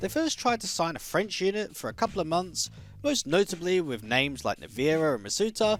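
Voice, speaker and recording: A man with a high voice makes very wide pitch swings. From Australia. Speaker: esports caster. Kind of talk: esports video essay narration.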